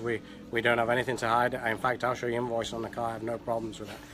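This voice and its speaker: A man speaks at a medium pitch with noticeable background noise present. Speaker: car salesman. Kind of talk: short promo spiel on camera. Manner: hesitant, filler-heavy, halting. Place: shop. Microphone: phone near.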